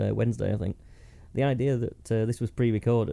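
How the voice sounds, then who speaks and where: A man with a dark, mellow tone and medium pitch moves at a fairly quick pace, his pitch varying in an ordinary way. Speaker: podcast host. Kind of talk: casual comedic chat.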